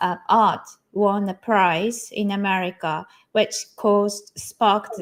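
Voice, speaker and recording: A woman with a Japanese accent speaks at a very slow pace and a medium pitch. Her intonation is monotone and flat. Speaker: digital artist. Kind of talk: interview. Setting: online live stream. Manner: halting, many fillers.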